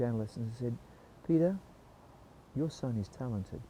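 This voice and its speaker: Somewhat breathy, a man's medium-pitched voice carries a dark, mellow tone. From Australia (Melbourne). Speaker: musical theatre performer. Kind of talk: interview storytelling.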